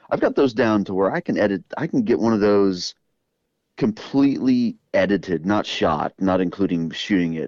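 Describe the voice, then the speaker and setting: In a dry, close sound with no echo and a quiet background, a man speaks in a normal speaking voice at a fairly low pitch, at a moderate pace with ordinary pitch variation. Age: 40s. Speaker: fly tying video creator and former fishing guide. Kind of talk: casual chat.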